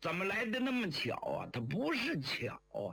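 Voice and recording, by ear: A man's high voice with very wide pitch swings, a bright, sharp tone, vocal fry and audible room echo. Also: moderate pace.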